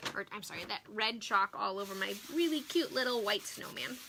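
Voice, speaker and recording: A woman is speaking. Her pace is fairly slow. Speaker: craft demonstrator and product seller. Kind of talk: live-stream craft tutorial. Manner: animated.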